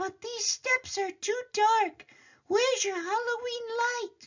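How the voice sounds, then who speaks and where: A put-on character voice, squeaky and extremely high in pitch, talks at a fairly slow pace. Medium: read story. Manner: brisk, bossy.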